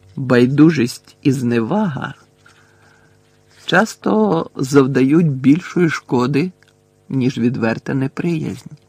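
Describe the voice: In a put-on character voice, a man speaks quietly at a slow pace and medium pitch with lively intonation, vocal fry, a slightly husky edge and a slightly mellow tone, the sound dry and close with no echo.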